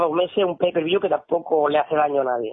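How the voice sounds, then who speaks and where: A man speaks with lively intonation. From Spain. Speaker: MMA commentator and journalist. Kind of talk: casual interview.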